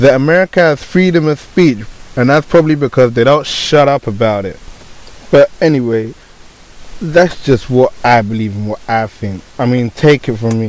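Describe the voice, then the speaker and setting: A man talks at a moderate pace with very wide pitch swings. Noticeable background noise is present. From Britain. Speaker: YouTuber. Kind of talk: unscripted rant to camera.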